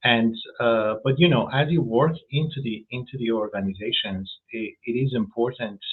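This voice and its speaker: This man has a non-native accent and a medium pitch. His pitch variation is ordinary. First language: not English. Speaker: food safety executive. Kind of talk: interview. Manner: halting, many fillers and repetitions.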